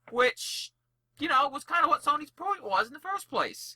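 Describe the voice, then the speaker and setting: An animated man with a bright, sharp tone, moderate pace and dry, close sound with no echo. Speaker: podcast co-host. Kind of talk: casual chat. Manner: loud.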